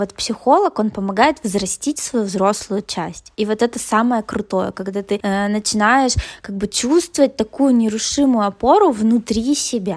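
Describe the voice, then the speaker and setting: A woman with a normal speaking voice talks at a fairly slow pace, her fairly high pitch showing ordinary variation, on a very clean recording with a silent background. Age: 30s. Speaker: psychologist. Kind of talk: casual interview.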